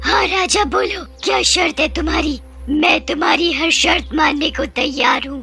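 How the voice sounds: A cartoonish character voice at a high pitch plays over clear music in the background. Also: moderate pace, hardly any pauses.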